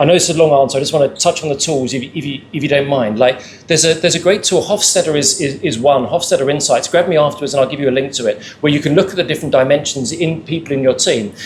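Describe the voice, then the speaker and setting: A man with a British accent, fairly high pitch, very fast pace and ordinary pitch variation. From England. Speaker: panelist. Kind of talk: panel discussion. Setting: live event with audience. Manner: repetitive stammering on words.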